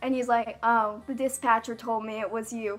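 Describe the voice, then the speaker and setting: At a moderate pace, a woman speaks. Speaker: YouTuber. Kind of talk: story time vlog. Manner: breathless run-on delivery.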